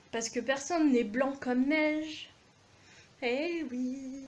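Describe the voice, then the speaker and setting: Amid audible room echo, a woman speaks in an animated tone with ordinary pitch variation. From France, Aveyron (Millau). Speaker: video blogger. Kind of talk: rant to camera.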